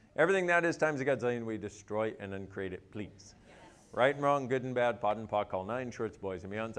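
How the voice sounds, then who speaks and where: Lively intonation marks this man's speech. He talks at a very fast pace. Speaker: facilitator leading clearing statements. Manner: fast talker.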